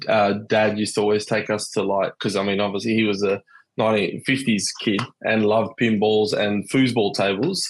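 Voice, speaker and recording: A man with an Australian accent speaks at a moderate pace and a fairly low pitch. His delivery is flat and monotone, with very even loudness. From Western Australia, Perth. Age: 30s. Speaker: pinball collector. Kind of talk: casual chat.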